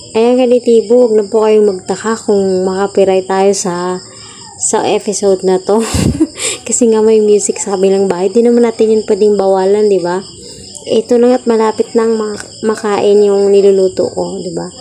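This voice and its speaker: A woman's fairly high voice over noticeable background noise. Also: fairly even intonation, moderate pace. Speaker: cooking vlogger. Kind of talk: cooking tutorial. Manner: loud.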